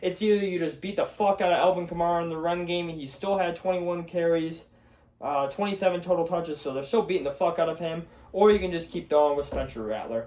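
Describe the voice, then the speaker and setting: At a very fast pace, a man talks in an animated tone with a high pitch and ordinary pitch variation. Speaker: sports podcast host. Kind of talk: solo sports talk show. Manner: casual, profane, animated.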